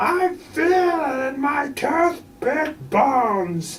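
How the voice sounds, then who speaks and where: In a put-on character voice pitched high, the speaker goes at a very slow pace over clear background noise. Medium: read story.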